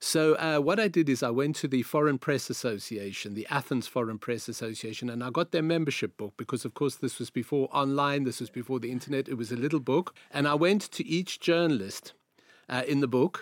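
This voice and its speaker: A man with a South African accent speaks at a fairly quick pace and medium pitch with ordinary pitch variation, the sound dry and close with no echo. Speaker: journalist. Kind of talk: interview.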